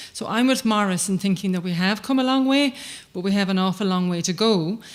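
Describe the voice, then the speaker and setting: In a very clean recording with a silent background, a woman with an Irish accent speaks with ordinary pitch variation. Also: medium pitch for a woman, fairly quick pace. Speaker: human rights advocate. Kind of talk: conference speech. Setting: stage with audience. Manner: fast.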